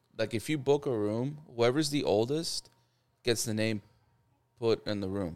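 This is a normal speaking voice from a man at medium pitch, on a very clean recording with a silent background. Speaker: guest. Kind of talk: casual chat, storytelling.

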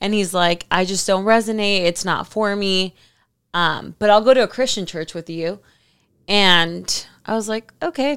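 A woman with an American accent and a normal speaking voice, at a medium pitch with ordinary variation. She speaks at a fairly slow pace on a very clean recording with a silent background. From Miami, Florida. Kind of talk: casual chat.

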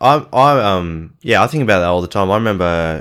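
A man with an Australian accent speaks in a very deep, low voice with lively intonation, on a very clean recording with a silent background. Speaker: podcast co-host. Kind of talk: rant; casual chat.

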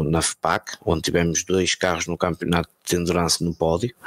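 A man's very deep, low voice, dry and close with no echo. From Portugal, Porto. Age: 30s. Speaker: sim racing team manager. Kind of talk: casual chat. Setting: live video stream.

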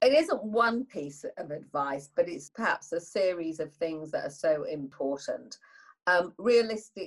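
Someone with a Yorkshire accent speaks at a fairly slow pace. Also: woman. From northern England. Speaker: business leader. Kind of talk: interview.

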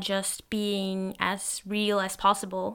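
A woman with a Norwegian accent speaks in a bright, sharp tone and monotone, flat intonation, in a very clean recording with a silent background. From Norway. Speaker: solo podcaster. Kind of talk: stream-of-consciousness monologue. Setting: home recording, solo microphone. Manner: halting, many fillers.

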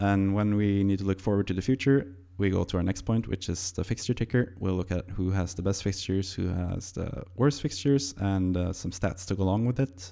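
A man with a Norwegian accent talks at a fairly quick pace with hardly any pauses. His pitch is very deep and low, his tone dark and mellow, with ordinary pitch variation. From Norway. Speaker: podcast host. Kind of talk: casual chat. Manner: upbeat.

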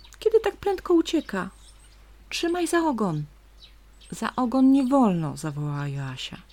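A woman with a high pitch speaks at a fairly slow pace, leaving long, frequent pauses. Her tone is gentle, soothing, dark and mellow, and her pitch swings very widely. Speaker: nature story narrator. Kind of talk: bedtime story reading aloud with nature sounds. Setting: home, recorded with stream and birds outside window. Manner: slow, soft, gentle, soothing storyteller.

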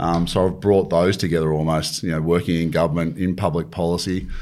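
A man's very deep, low voice with an Australian accent, at a fairly quick pace and fairly even intonation. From country New South Wales, Australia. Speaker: government agency chief executive. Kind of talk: interview.

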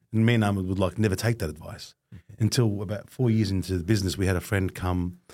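A man's fairly low, somewhat breathy voice at a very fast pace, in a very clean recording with a silent background. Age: 40s. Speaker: podcast co-host. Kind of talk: casual interview chat.

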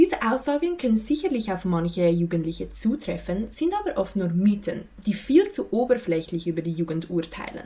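With very wide pitch swings, a woman talks in a medium pitch. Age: young. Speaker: student podcast host. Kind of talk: scripted narration.

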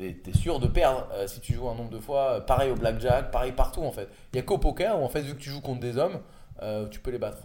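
Talking at a very fast pace, a man with a medium pitch has a dark, mellow, somewhat breathy tone and ordinary pitch variation. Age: 30s. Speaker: entrepreneur and podcast host. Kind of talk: casual interview.

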